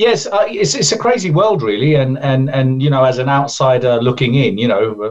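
A man with an English accent, fairly high in pitch, lively in intonation and fairly quick in pace. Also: hardly any pauses. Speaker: event organizer. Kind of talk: interview. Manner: halting.

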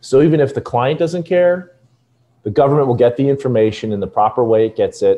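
A man with an ordinary speaking voice, ordinary pitch variation and a fairly quick pace. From Los Angeles. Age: 40s. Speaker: cybersecurity consultant, former Secret Service agent. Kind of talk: interview.

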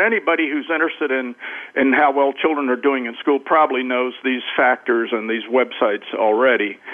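A man with an ordinary speaking voice, medium in pitch. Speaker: education author and cross-cultural specialist. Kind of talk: radio interview.

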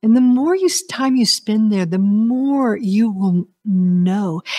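The voice is somewhat breathy, with a dark, mellow, soothing, calm tone. It moves at a very slow pace through very wide pitch swings. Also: woman. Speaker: spiritual talk show host. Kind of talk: guided meditation. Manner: slow, soothing, soft-spoken; calm, hypnotic countdown pacing.

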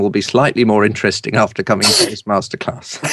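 His pitch sits fairly low for a man. He rattles along at a very fast pace. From England (London, later Suffolk). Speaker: TV and radio presenter, speaker coach. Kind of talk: interview. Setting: radio show.

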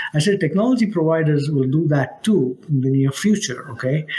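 With lively intonation and a fairly high pitch, a man talks at a moderate pace as noticeable noise hums behind him. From India (Mumbai). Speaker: cybersecurity executive. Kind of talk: interview.

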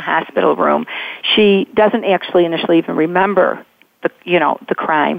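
At a moderate pace and medium pitch, a woman talks in a normal speaking voice with fairly even intonation. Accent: American. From Chicago suburbs. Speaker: novelist. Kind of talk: radio interview.

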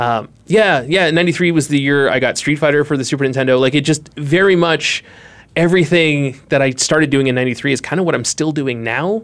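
A man speaks with an American accent in an unremarkable speaking voice at a fairly high pitch. His pace is fairly quick, with ordinary pitch variation. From Boston. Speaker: graphic designer. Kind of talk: casual chat. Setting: studio.

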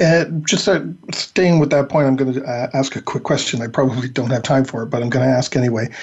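A man speaks at a medium pitch, somewhat breathy, with ordinary pitch variation. His pace is fairly quick, with hardly any pauses. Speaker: radio podcast host. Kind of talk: interview, host banter. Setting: remote interview by phone.

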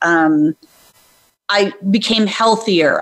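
A woman uses an ordinary speaking voice at medium pitch, with ordinary pitch variation. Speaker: brand coach and author. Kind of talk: interview.

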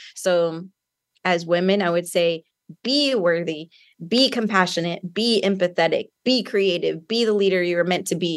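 Over a quiet background, a woman talks with an ordinary speaking voice at a medium pitch and moderate pace. Her loudness stays very even, with ordinary pitch variation. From US, San Antonio, Texas. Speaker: author and empowerment coach. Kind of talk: interview.

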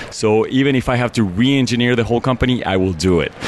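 A man with a Mexican accent talks at a very fast pace, his pitch rising and falling in an ordinary way over noticeable background noise. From Mexico City. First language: Spanish. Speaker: business owner. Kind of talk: interview.

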